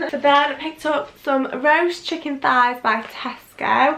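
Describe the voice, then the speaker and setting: A woman with a high pitch is heard through audible room echo and noticeable background noise. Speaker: vlogger. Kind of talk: casual vlog haul talk. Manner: fast.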